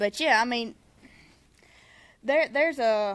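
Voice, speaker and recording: A woman with a Southern US accent speaks at a fairly slow pace with a fairly high pitch, an animated tone and lively intonation. The recording is very clean, with a silent background. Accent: Southern US accent, noticeable. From Mississippi. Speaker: podcast co-host, small business soap maker. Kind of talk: casual chat.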